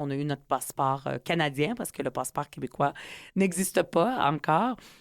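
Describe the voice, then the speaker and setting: At a moderate pace and with ordinary pitch variation, the voice comes through in a very clean recording with a silent background and a dry, close sound with no echo. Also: woman. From Quebec (Montreal, from age 10; born in UAE). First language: Arabic (speaking French). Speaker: politician and author. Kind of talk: interview. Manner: hesitant with many fillers.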